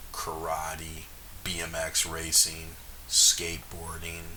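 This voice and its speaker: With room echo audible and noticeable background noise, a man speaks in an American accent. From US South, Jackson, Mississippi, then Minnesota from sixth grade. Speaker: jazz bassist. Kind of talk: casual interview. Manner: casual, filler-heavy.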